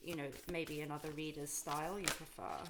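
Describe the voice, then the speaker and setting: Noticeable background noise sits behind a woman's voice. She talks at a fairly quick pace with a fairly low pitch and fairly even intonation. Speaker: tarot reader. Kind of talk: tarot reading to camera. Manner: calm.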